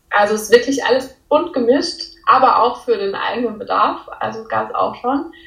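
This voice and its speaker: A woman's high-pitched voice with lively intonation, a moderate pace and hardly any pauses, in audible room echo. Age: 20s. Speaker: law student and part-time clothing designer. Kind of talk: casual interview.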